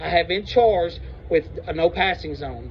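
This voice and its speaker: A man's voice over noticeable background noise. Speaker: citizen auditor confronting police. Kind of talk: heated debate. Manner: loud; blunt, argumentative.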